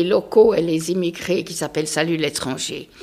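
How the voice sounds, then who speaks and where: A woman's voice over noticeable background noise. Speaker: local resident. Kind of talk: panel discussion. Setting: town hall meeting room.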